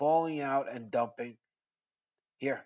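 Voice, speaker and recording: A man with an American accent speaks at a fairly high pitch with ordinary pitch variation. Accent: New York Italian. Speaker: crypto trading educator. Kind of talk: trading tutorial monologue. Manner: animated.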